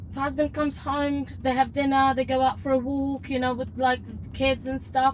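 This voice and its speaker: A woman's high-pitched voice, monotone and flat, at a moderate pace with hardly any pauses. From Ukraine. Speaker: teacher, rideshare passenger. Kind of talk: casual chat. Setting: in a car. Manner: halting, many repetitions and false starts.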